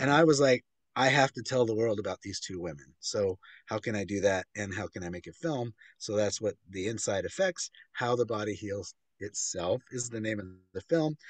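A man with a fairly low pitch and ordinary pitch variation speaks at a moderate pace, the sound dry with no echo and the background quiet. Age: 50s. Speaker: author and filmmaker; interview guest. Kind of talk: interview. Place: home room. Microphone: video call.

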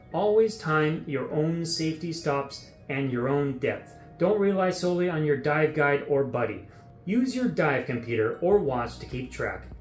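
With faint music in the background and audible room echo, a man speaks at a moderate pace. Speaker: diving instructor. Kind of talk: tutorial. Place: studio.

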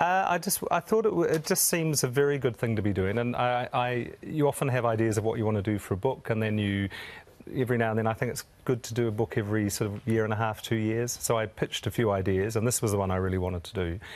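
Delivered at a very fast pace with ordinary pitch variation, the voice has a New Zealand accent. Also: man. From New Zealand, Wanganui. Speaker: chef; guest. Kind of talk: casual chat. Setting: studio. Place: studio.

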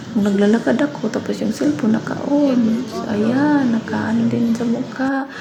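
A woman with a fairly high pitch talks with hardly any pauses and ordinary pitch variation. Noticeable background noise and audible room echo are present. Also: moderate pace. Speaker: vlogger, domestic worker abroad. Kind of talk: casual vlog voice-over. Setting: recorded in a bathroom. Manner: hushed, hiding from employer.

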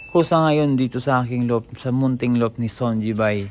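Noticeable background noise sits behind a man who talks at a moderate pace, his medium-pitched voice keeping fairly even intonation. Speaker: pigeon-racing hobbyist vlogger. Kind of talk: casual vlog talk to viewers.

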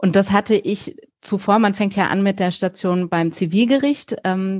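Over a quiet background, a woman with a normal speaking voice talks at a moderate pace in a medium pitch, her intonation fairly even. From Germany, raised bilingual with English. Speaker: criminal defence lawyer. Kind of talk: interview. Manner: casual, many fillers.

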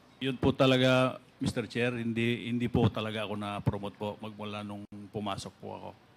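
A man's fairly quick, monotone, flat delivery with big swings in loudness. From Pangasinan, Philippines. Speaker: town mayor, retired police officer; town mayor. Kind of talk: testimony at hearing; formal testimony answer. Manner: halting. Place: hall. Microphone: podium.

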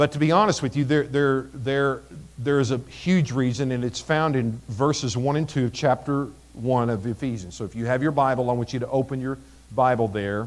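With ordinary pitch variation, a man speaks fairly quickly. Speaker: pastor. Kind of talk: sermon. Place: church.

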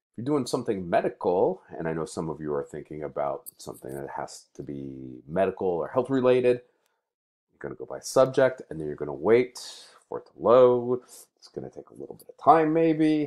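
Against a quiet background, the words come at a fairly quick pace. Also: man. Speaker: college librarian or instructor. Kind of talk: tutorial. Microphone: webcam.

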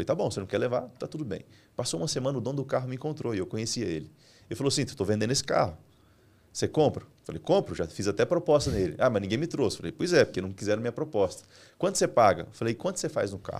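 A man with vocal fry and a medium pitch talks at a very fast pace, his pitch swinging very widely. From Brazil, Mato Grosso interior. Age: 30s. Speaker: entrepreneur and business mentor; podcast guest. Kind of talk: business podcast interview. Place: studio. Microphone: studio mic.

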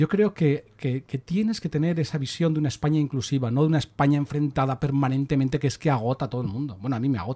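Somewhat breathy and fairly high-pitched, a man races along at a very fast pace with hardly any pauses and ordinary pitch variation. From Spain. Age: 60s. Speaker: political commentator. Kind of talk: casual chat. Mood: earnest, argumentative. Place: studio. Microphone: studio mic.

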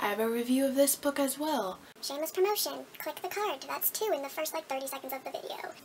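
Against light background noise, a woman with a high voice speaks at a very fast pace with lively intonation. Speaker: book vlogger. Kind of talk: casual vlog chat. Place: home room. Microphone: camera far.

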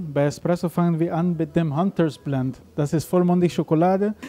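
A high-pitched man with a non-native accent, fairly even intonation and a fairly quick pace, faint music in the background. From Aruba. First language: not German (speaking German). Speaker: coffee roaster owner. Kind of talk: interview. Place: cafe. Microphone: handheld.

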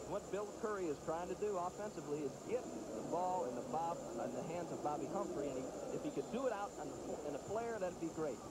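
Over noticeable background noise, a man with a high voice talks at a fairly quick pace with lively intonation and hardly any pauses. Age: 30s. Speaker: football color commentator. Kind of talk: live commentary. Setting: stadium broadcast booth.

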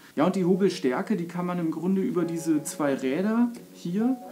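A high-pitched man at a moderate pace, ordinary pitch variation, faint music in the background. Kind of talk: tutorial. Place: workshop.

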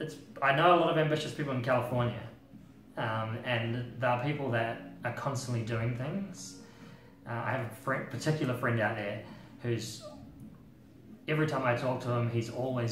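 A man talks at a moderate pace with ordinary pitch variation and long, frequent pauses. Faint music plays in the background, and room echo is audible. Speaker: music journalist. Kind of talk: interview answer. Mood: relaxed, reflective. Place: home room.

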